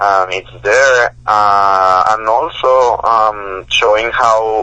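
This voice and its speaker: The speaker has a Spanish accent and a bright, sharp tone. Delivery is very slow with fairly even intonation. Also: man, fairly low pitch for a man. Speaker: professor and author. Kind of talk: interview. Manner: halting, many repetitions and fillers.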